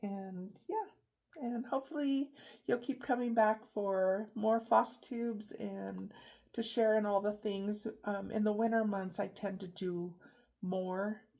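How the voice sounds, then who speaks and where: On a very clean recording with a silent background, a woman speaks very slowly at a fairly high pitch, her tone dark and mellow and her pitch variation ordinary. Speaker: craft vlogger. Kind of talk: casual chat. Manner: hesitant, many fillers.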